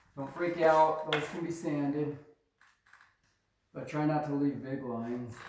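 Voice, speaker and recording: With audible room echo, a man speaks at a fairly slow pace in a fairly high pitch and fairly even intonation. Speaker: drywall tradesman. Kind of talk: tutorial. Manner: loud.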